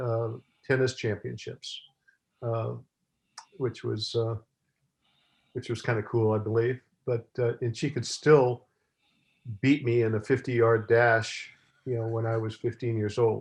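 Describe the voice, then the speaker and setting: A man talks at a fairly slow pace with a medium pitch, somewhat breathy, in a monotone, flat intonation. Long, frequent pauses break up his words against a quiet background. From San Francisco, California. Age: 80s+. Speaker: retired college athletics director. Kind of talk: casual interview. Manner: halting, many fillers.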